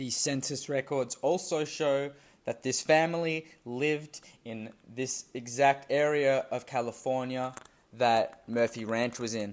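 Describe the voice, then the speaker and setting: This man has a normal speaking voice at a medium pitch. His intonation stays fairly even, and he talks at a fairly slow pace. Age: young. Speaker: history YouTuber. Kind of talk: scripted narration.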